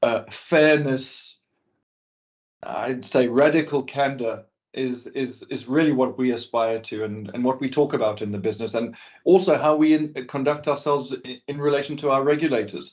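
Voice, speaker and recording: A man with a South African accent speaks at a fairly high pitch, his intonation fairly even. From South Africa, Cape Town. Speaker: business executive. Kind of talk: interview. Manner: halting, many repeated words.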